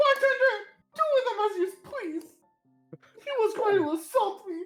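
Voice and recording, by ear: Over faint background music, a put-on character voice at an extremely high pitch moves at a moderate pace.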